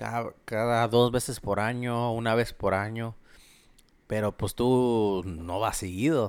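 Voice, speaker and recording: A man at medium pitch, very slow and fairly even in intonation, on a very clean recording with a silent background. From Mexico, Guanajuato. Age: 20s. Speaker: electrician. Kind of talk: casual chat.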